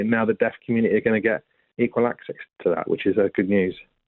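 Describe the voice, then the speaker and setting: Talking very fast, a man uses a mid-range pitch. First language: British Sign Language. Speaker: deaf charity representative. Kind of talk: radio interview. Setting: radio interview.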